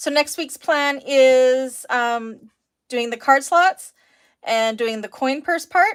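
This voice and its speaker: A woman speaks at a very slow pace in a Canadian accent. Her pitch is high, with ordinary variation. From Canada. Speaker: sewing teacher. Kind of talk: live online class. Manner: mumbling; casual, chatty.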